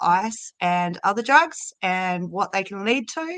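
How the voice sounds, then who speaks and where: A woman speaks at a medium pitch with an Australian accent. The background is quiet. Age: 40s. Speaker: addiction prevention volunteer. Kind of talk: casual live-stream chat.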